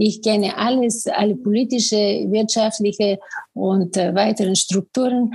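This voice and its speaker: At a fairly slow pace, a woman talks in a fairly high, somewhat breathy voice with monotone, flat intonation. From Bulgaria. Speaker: business coach. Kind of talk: interview.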